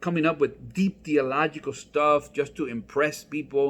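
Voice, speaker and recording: A man speaks with a non-native accent at a fairly high pitch. His tone is animated. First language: not English. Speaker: pastor. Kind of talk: comedic church vlog. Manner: casual, conversational.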